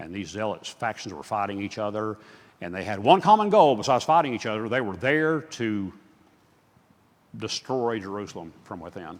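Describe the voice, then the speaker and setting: This man has a fairly low pitch and lively intonation. His loudness rises and falls in big swings. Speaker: guest Bible teacher. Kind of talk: lecture. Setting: church. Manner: fast.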